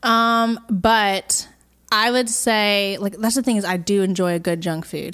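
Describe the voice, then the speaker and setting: In a normal speaking voice, a woman talks at a fairly slow pace with medium pitch and ordinary pitch variation, on a very clean recording with a silent background. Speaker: podcast co-host, singer-songwriter. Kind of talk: casual chat, Q&A episode. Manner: playful, chatty.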